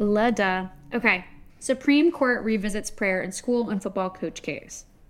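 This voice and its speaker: With a plain, everyday voice, a woman speaks at a medium pitch and with lively intonation. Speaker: podcast co-host. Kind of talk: casual chat and interview.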